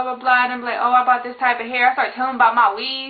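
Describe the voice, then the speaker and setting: This woman's voice sits high in pitch. Her tone is animated. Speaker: beauty vlogger. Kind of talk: casual vlog monologue. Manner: fast.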